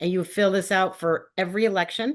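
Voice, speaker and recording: The background is quiet while a woman talks in a medium pitch. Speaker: state ethics agency staff presenter. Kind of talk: webinar presentation. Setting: video call. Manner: fast.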